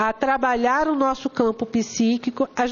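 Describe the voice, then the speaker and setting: A high-pitched woman's voice in a Brazilian accent, with noticeable background noise. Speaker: spiritist lecturer. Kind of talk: lecture. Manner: animated.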